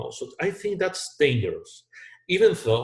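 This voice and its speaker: This man's voice is somewhat breathy, and he keeps a moderate pace. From Chile. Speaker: business strategy consultant. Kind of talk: video lecture.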